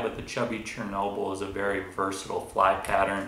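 Through light background noise and audible room echo, a man speaks with a fairly low pitch. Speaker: guest. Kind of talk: tutorial. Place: home room. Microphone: camera far.

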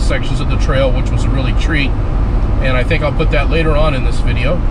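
The man talks at a fairly quick pace. Loud background noise runs behind him. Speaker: off-road vlogger. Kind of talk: casual vlog chat. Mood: upbeat, relaxed. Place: car. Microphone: camera far.

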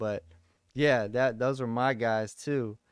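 A man with a Texan accent in a flat monotone, dry with no echo against a quiet background. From Texas. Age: 30s. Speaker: podcast host. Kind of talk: casual interview. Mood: calm, earnest. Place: home room. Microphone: studio mic.

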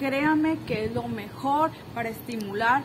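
A woman's voice with ordinary pitch variation over noticeable background noise. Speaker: gardening vlogger. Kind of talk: casual vlog chat. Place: garden. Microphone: phone near.

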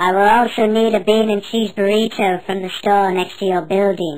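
A cartoonish character voice, female-sounding, at a moderate pace. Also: medium pitch for a woman. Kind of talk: solemn divine pronouncement. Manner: grand, commanding, deadpan.

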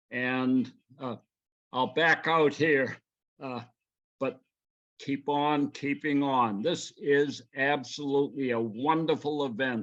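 Speaking very slowly, a man with a fairly high pitch uses ordinary pitch variation. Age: 90s. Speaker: resident giving public comment. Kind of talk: public comment. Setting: video call, audio only.

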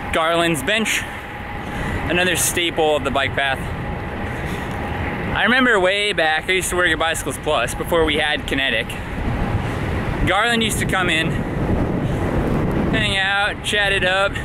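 A man speaks at a moderate pace with ordinary pitch variation, pausing long and often. The sound is dry with no echo, though loud background noise is present. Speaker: cyclist vlogger. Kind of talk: casual vlog chat. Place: bicycle. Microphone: phone near.

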